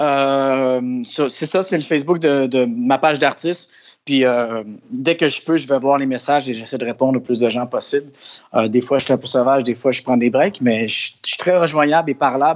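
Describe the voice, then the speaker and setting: A man in a Quebec accent speaks at a moderate pace, fairly high-pitched with fairly even intonation. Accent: Québécois French. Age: 30s. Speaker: actor and musician. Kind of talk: interview. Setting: studio.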